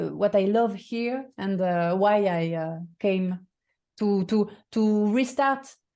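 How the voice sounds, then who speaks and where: Speaking at a very slow pace, a woman with a medium pitch and a dark, mellow tone uses ordinary pitch variation. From France. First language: French. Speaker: voice and communication coach. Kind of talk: interview. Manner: halting, many fillers and repetitions.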